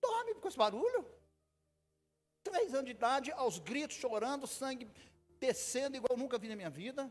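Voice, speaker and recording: A man with an extremely high pitch talks at a moderate pace with lively intonation. His speech has long, frequent pauses. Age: 60s. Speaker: pastor. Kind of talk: sermon. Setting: church. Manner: animated.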